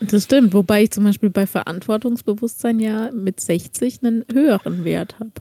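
A woman's somewhat breathy, dark, mellow voice at a fairly high pitch and moderate pace, with ordinary pitch variation, hardly any pauses, and a dry, close sound with no echo. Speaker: podcast co-host. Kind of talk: casual chat.

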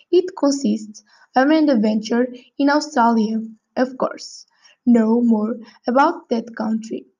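A woman speaks high in pitch with a dark, mellow tone and a non-native accent. Her pace is fairly slow, with ordinary pitch variation. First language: not English. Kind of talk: prepared speaking exercise. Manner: halting.

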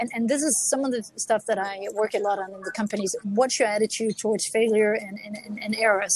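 A woman with a Danish accent speaks fairly quickly at a fairly high pitch with fairly even intonation, amid noticeable background noise. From Denmark. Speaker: author and executive coach. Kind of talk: interview. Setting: remote call from a cafe.

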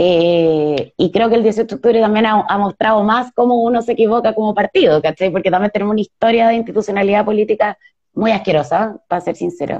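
A woman with a Chilean accent at a fairly high pitch, ordinary pitch variation, a fairly quick pace and hardly any pauses. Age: 30s. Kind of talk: live interview. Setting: video live stream.

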